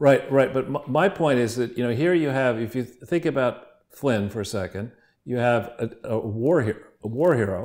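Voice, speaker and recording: Pitched in the medium range, a man talks at a moderate pace with ordinary pitch variation. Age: 60s. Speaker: political commentator and co-host. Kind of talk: interview discussion. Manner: animated.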